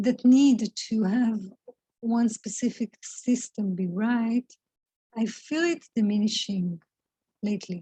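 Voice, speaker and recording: Speaking at a very slow pace with long, frequent pauses, this voice has a dark, mellow tone, a non-native accent, ordinary pitch variation and a somewhat breathy quality. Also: woman, fairly high pitch for a woman. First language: not English. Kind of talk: spiritual reflection talk to camera. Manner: slow, hesitant, thoughtful.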